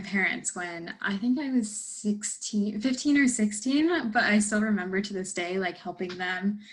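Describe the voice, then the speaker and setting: This woman's fairly high, somewhat breathy voice moves at a moderate pace with ordinary pitch variation. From United States, born in India. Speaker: personal trainer and fitness coach. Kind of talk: casual Q&A interview.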